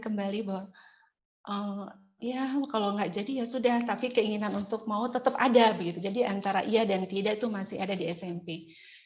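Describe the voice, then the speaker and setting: This woman has a West Javanese accent and a fairly high pitch. She speaks at a fairly quick pace with ordinary pitch variation. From Indonesia, West Java (Cigugur, Kuningan, Sundanese). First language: Sundanese (speaking Indonesian). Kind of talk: testimony.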